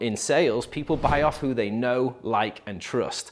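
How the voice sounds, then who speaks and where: A man's fairly high voice in an English accent, with ordinary pitch variation. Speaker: real estate agent and video marketing coach. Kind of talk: tutorial. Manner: casual, filler-heavy.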